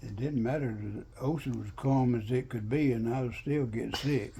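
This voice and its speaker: A man with a Southern US accent talks at a medium pitch and moderate pace, his tone dark, mellow and somewhat breathy. His intonation stays fairly even, and the room echo is audible. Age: 90s. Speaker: war veteran. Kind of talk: oral history interview. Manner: halting.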